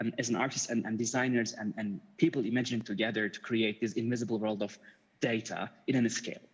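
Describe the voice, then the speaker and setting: Speaking very fast, a man with a Turkish accent keeps a medium pitch. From Turkey, Istanbul. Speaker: media artist. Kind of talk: conference talk. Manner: halting.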